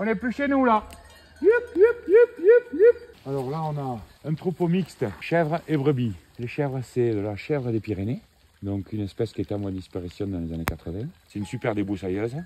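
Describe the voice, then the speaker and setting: A moderate pace over noticeable background noise. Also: man. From Tarn, southern France. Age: 50s. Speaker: shepherd and livestock farmer. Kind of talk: casual talk while herding.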